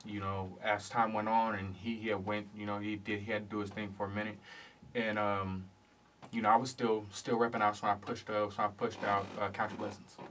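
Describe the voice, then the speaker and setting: In a monotone with flat intonation, a man speaks with a fairly low pitch. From Oceanside, California, partly raised in Louisiana. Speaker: rapper. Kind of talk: radio interview. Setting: radio studio. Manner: halting, repeats words.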